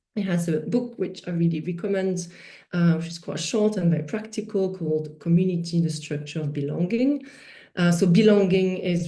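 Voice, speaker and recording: A woman's fairly low, somewhat breathy voice in a strong French accent, dark and mellow in tone, with fairly even intonation, a moderate pace and audible room echo. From France. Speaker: festival director, workshop speaker. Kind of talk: online workshop presentation. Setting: video call. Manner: hesitant, many fillers.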